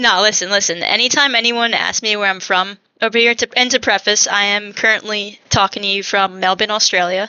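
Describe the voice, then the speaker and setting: In a Long Island accent, a woman speaks at a fairly quick pace and medium pitch, with fairly even intonation and hardly any pauses. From Long Island, New York. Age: 20s. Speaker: podcast co-host. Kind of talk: casual chat.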